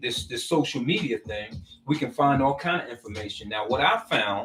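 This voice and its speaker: Vocal fry runs through a man's fairly high voice as he speaks at a moderate pace. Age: 60s. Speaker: social media commentator. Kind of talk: casual monologue. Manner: halting.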